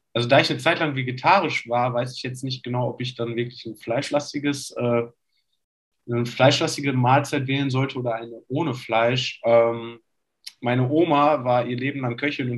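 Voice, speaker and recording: This man keeps to a medium pitch and a moderate tempo. The delivery stays monotone and flat. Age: 20s. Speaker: basketball player. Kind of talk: casual chat.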